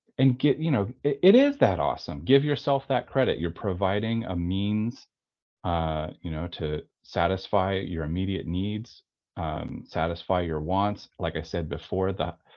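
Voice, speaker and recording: The speaker uses lively intonation at a fairly slow pace. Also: man, very deep, low pitch for a man. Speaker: tattoo artist and studio owner. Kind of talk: webinar interview. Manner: rambling with false starts.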